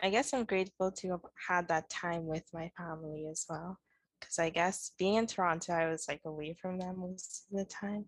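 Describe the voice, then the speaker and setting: Her voice fairly low with fairly even intonation, a woman speaks in an unremarkable speaking voice, recorded dry and close with no echo. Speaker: student podcast co-host. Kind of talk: casual interview.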